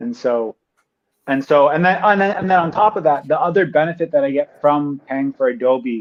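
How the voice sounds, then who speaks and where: In a normal speaking voice, a man talks at a moderate pace with an American accent. His pitch is fairly high, and his intonation is lively. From United States. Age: 30s. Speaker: tech video creator. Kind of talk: casual chat. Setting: livestream.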